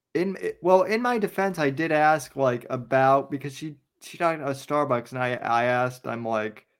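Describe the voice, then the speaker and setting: This man talks at a moderate pace in an ordinary speaking voice, with ordinary pitch variation. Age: 30s. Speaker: podcast host. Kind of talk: casual chat.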